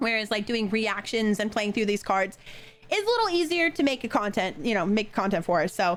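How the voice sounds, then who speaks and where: Music plays behind a woman speaking at a fairly quick pace. Her tone is animated, her intonation lively and her loudness very even. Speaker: gaming content creator. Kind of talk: casual game commentary.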